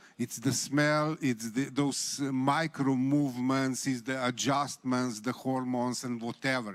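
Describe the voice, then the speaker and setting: A man's fairly high voice at a very slow pace. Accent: Slovenian. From Slovenia. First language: Slovenian. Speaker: writer. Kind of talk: panel discussion. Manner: halting.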